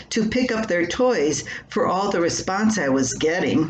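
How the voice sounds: The delivery has lively intonation at a fairly slow pace. Audible room echo surrounds the voice. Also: woman.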